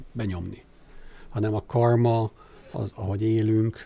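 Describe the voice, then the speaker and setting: A man speaks in a somewhat breathy, fairly low voice with ordinary pitch variation. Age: 60s. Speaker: philanthropist, former investment banker. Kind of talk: interview. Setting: studio. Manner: hesitant, many filler sounds.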